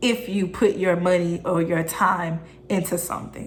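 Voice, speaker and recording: A woman's medium-pitched voice, fairly even in intonation, carries audible room echo over noticeable background noise. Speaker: self-improvement YouTuber. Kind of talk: motivational vlog tutorial.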